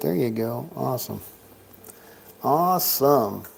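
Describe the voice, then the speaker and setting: A man speaking fairly slowly amid noticeable background noise. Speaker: live-stream craps dice host. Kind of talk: casual live-stream chat with dice calls. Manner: talking quietly, not booming.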